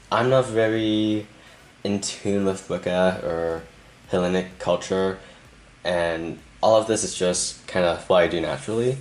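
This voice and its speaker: A man with a fairly low voice at a fairly slow pace, with long, frequent pauses and noticeable background noise. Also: ordinary pitch variation. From Canada. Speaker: tarot reader. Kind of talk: tarot reading to camera.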